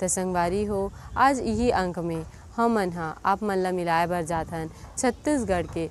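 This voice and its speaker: A woman has a normal speaking voice at a medium pitch with ordinary pitch variation. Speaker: YouTube channel host. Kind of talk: scripted introduction.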